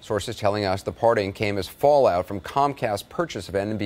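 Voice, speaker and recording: A plain, everyday voice with ordinary pitch variation. The pace is fairly quick. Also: man. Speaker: news anchor / reporter. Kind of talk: TV news report.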